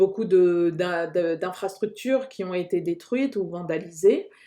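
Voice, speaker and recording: A woman talks at a very slow pace in a dark, mellow tone with ordinary pitch variation. Behind her the background stays quiet. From New Caledonia, Kanak, Lifou. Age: 30s. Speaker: podcast host. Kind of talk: casual discussion.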